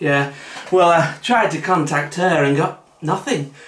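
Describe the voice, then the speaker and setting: A man's moderately paced speech, audible room echo around it. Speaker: comedic vlogger. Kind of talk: comic monologue to camera. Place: kitchen. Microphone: camera far.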